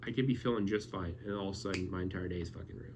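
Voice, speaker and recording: With audible room echo around him, a man speaks at a fairly low pitch that varies in an ordinary way. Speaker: YouTuber. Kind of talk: casual vlog monologue. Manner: stuttering; halting.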